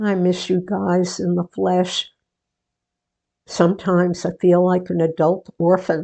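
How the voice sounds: A woman puts on a character voice with a dark, mellow tone, vocal fry and little pitch movement, at a slow pace. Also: fairly low pitch for a woman.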